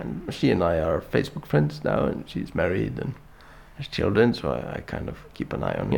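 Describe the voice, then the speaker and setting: In an Icelandic accent, a man speaks with very wide pitch swings. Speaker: artist. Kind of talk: interview. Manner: halting.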